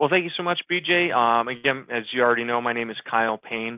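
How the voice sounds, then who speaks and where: A man with a Chicago accent, medium pitch, at a very fast pace. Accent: Chicago American English. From US Midwest, Chicago. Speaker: digital marketing consultant. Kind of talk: webinar presentation. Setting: webinar.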